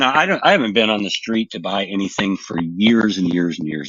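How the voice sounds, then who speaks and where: A man speaks at a fairly quick pace with a fairly low pitch. He has a plain, everyday voice with ordinary pitch variation. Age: 60s. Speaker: painter and home grower. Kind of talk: casual chat.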